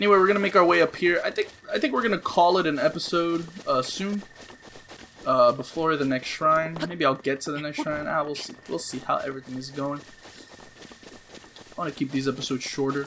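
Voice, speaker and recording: Noticeable background noise surrounds a man with a fairly high voice. His loudness rises and falls in big swings. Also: ordinary pitch variation. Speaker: gaming let's play youtuber. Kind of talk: gameplay commentary. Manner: animated; fast.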